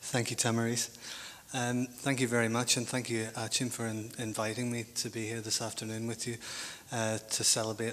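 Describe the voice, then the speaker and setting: With a Northern Irish accent, a man talks fairly quickly at medium pitch in a monotone, flat delivery over noticeable background noise. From Northern Ireland. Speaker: academic panel speaker. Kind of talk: conference talk. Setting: conference panel in hotel. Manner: halting, many fillers and repetitions.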